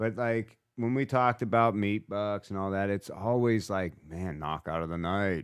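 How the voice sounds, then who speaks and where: A man's fairly low, unremarkable speaking voice, fairly slow, with ordinary pitch variation. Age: 40s. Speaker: butcher shop manager. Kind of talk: casual chat. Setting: studio.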